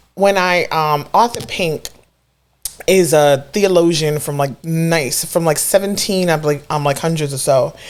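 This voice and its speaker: With a New York accent, a woman speaks at a fairly slow pace. Her pitch is fairly low, with ordinary pitch variation. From Brooklyn, New York. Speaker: artist and educator. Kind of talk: casual interview chat about faith.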